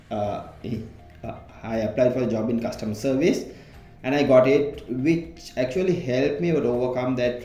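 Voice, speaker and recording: A man talks at medium pitch and a moderate pace with ordinary pitch variation. There is audible room echo and music in the background. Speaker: employee sharing personal story. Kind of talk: interview. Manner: halting.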